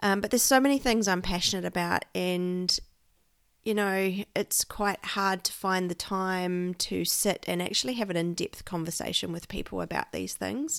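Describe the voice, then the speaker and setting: A woman with a New Zealand accent speaks at a moderate pace, her pitch medium and its variation ordinary. The recording is very clean, with a silent background. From New Zealand, South Island (Christchurch). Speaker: podcast host, Enneagram coach. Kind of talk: solo monologue, informal teaching. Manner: casual, filler-heavy.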